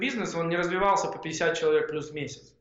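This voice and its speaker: A man's high-pitched voice with audible room echo. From Ukraine, Odesa region (Bolhrad). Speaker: tech entrepreneur. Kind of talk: interview conversation.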